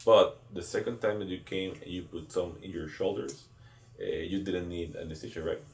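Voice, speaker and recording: A man with a Spanish accent speaks with big swings in loudness. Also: moderate pace. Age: 20s. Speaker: clinic CEO. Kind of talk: interview.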